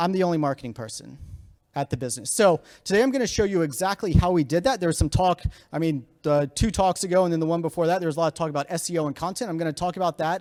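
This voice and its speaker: A man talks very fast in an American accent, his pitch high. His intonation is lively. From Virginia, US. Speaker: startup founder and CEO. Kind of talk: conference talk. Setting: stage with audience.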